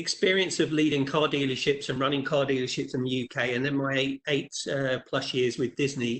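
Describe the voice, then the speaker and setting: With an English accent, a man speaks at a fairly high pitch and moderate pace with fairly even intonation. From England. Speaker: leadership trainer. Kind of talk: webinar presentation. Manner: halting, with many repeated words.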